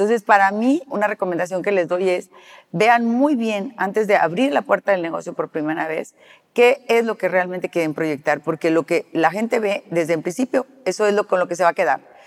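Using lively intonation at a moderate pace, a woman with an unremarkable speaking voice is heard in a dry, close recording with no echo. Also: medium pitch for a woman. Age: 60s. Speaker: celebrity hair stylist. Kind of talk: interview conversation.

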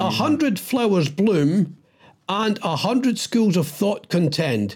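Using very wide pitch swings, a man with a Scottish accent speaks at a fairly slow pace in a high pitch. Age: 60s. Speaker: podcast co-host. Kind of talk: casual chat. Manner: animated.

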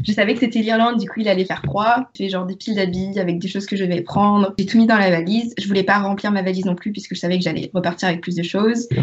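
Noticeable background noise sits behind a woman speaking at a very fast pace with hardly any pauses. Her pitch is medium and her intonation fairly even. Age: 20s. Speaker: history student and book youtuber. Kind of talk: casual chat.

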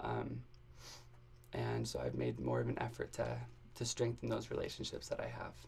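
A man with an American accent, at a moderate pace, with long, frequent pauses. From Arizona. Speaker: university student. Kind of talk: personal testimony in interview. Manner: halting, many fillers.

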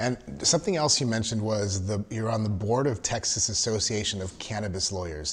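A somewhat breathy, fairly low male voice with an American accent at a fairly quick pace. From Southern California. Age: 50s. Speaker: podcast host, registered nurse. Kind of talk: casual interview.

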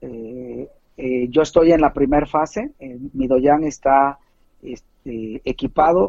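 Pausing long and often, a man talks at a very slow pace in a fairly high, dark, mellow voice with ordinary pitch variation. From Mexico, Puebla. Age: 40s. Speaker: taekwondo coach. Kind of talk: interview. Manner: halting.

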